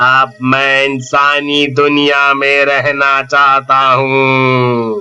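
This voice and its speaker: In a put-on character voice, someone speaks very slowly and flatly in a monotone, with faint music in the background. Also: man, medium pitch for a man. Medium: read story.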